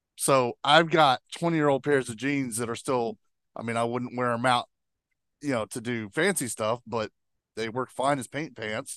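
Here a man has an unremarkable speaking voice at medium pitch with ordinary pitch variation and a moderate pace. The sound is dry and close with no echo over a quiet background. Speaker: producer.

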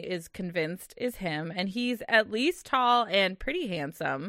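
A woman speaks in a plain, everyday voice at a medium pitch. Her pitch variation is ordinary, and her pace is fairly slow. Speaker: podcast co-host. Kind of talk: casual chat. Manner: laughs often, chatty.

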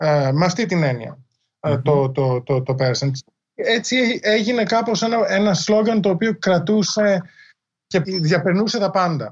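Against a quiet background, a high-pitched man speaks with lively intonation and very even loudness. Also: fairly slow pace. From Greece. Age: 40s. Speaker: history professor and author. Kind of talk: interview. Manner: halting, many fillers.

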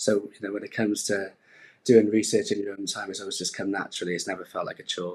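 A man talks at a very fast pace. His fairly low pitch holds a monotone, flat intonation. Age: 20s. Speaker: property sales executive. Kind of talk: casual interview. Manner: hesitant, many fillers.

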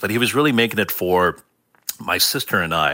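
Lively intonation marks this plain, everyday voice, delivered at a moderate pace on a very clean recording with a silent background. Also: man. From Seattle, US; born in Hong Kong. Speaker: cookbook author and food writer. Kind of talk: interview.

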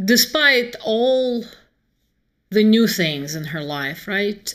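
A woman speaks in a Russian accent. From Moscow, Russia. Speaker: author. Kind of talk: casual interview conversation.

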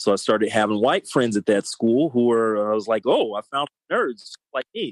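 A man with a Californian accent at a medium pitch and moderate pace, with ordinary pitch variation and a dry, close sound with no echo. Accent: Californian American. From South Los Angeles, California. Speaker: punk rock singer. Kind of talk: casual interview chat.

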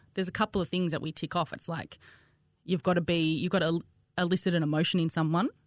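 A woman talks very fast in a flat, monotone way at a fairly low pitch, with a dry, close sound free of echo and a quiet background. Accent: strong Australian. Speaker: content creator and cake decorator. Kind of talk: casual chat.

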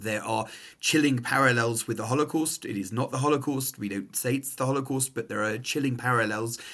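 A man with an English accent, medium pitch, fairly quick pace and fairly even intonation. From England. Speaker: rabbi. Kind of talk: interview.

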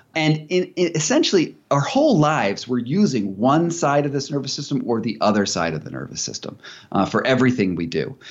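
A man's fairly high voice with vocal fry and lively intonation, at a fairly quick pace with hardly any pauses. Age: 40s. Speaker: investigative journalist and author. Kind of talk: casual interview chat.

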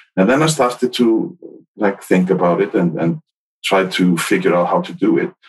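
With an Icelandic accent, the speaker keeps a moderate pace while the pitch swings very widely. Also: man, medium pitch for a man. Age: 50s. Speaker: podcaster and workplace happiness consultant. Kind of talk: casual interview.

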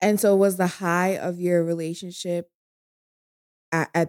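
A woman's fairly low-pitched voice moves with fairly even intonation. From New York. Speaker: podcast co-host and guest. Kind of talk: casual chat. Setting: drinking together in a dim room. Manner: fast talker.

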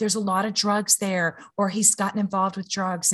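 In a Louisiana accent, a somewhat breathy woman speaks at a medium pitch and a fairly quick pace against a quiet background. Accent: Louisiana Southern US. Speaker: mother and podcaster. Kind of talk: interview.

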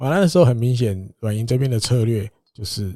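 With a Taiwanese accent, a man speaks at medium pitch and a fairly quick pace, his tone dark, mellow and somewhat breathy with ordinary pitch variation. The sound is dry and close with no echo, a very clean recording with a silent background. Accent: Taiwanese Mandarin. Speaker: baseball podcast host. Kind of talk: casual chat.

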